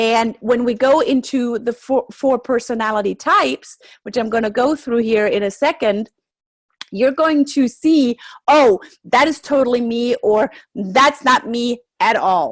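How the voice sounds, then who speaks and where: Speaking at a fairly slow pace with a German accent, the voice moves through ordinary pitch variation. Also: woman, high pitch for a woman. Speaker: NLP trainer. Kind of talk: webinar presentation. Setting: home office. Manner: energetic, high action.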